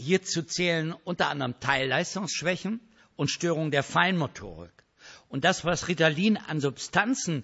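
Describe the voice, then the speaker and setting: Vocal fry runs through a man's fairly high voice as he talks with lively intonation. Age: 60s. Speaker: speaker on ADHD, church worker. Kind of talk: lecture. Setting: stage with audience.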